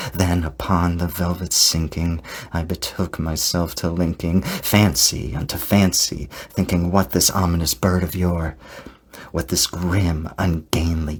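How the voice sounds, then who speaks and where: There is noticeable background noise as a man speaks at a fairly slow pace. His pitch is very deep and low. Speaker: ASMR creator. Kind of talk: poetry reading. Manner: whispered, soft-spoken.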